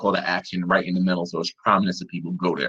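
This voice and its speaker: Bright and sharp in tone, a man talks at a very fast pace. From New York. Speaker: web developer and digital producer. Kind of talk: online presentation. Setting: virtual summit.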